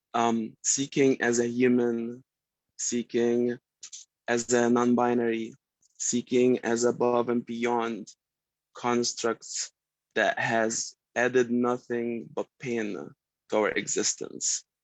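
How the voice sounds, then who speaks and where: Speaking in an Arabic accent, a man moves at a very slow pace with long, frequent pauses. His intonation is monotone and flat. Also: medium pitch for a man. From Egypt. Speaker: sound healer and musician. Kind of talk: self-introduction in a group video call. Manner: halting, many fillers.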